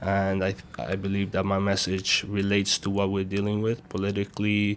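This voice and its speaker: A man with an Iranian accent speaks at a moderate pace in a fairly low, monotone, flat voice with hardly any pauses. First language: Farsi. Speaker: rapper and music producer. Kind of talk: interview.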